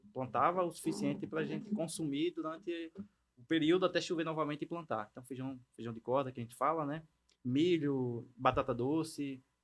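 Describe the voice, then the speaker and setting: A man talks at a moderate pace in an ordinary speaking voice, fairly high in pitch, with ordinary pitch variation and big swings in loudness. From Bahia sertão, Brazilian Northeast. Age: 30s. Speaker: agritech entrepreneur. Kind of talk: casual interview.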